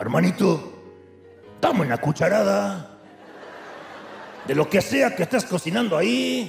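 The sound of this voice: A man's put-on character voice, guttural and fairly high, with very wide pitch swings, a fairly slow pace and long, frequent pauses, over clear background music and slight echo.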